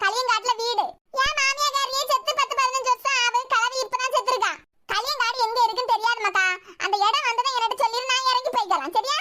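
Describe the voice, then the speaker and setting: In a cartoonish character voice, a woman speaks at an extremely high pitch and a moderate pace, with fairly even intonation and very even loudness. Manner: chatty, repetitive, cheeky.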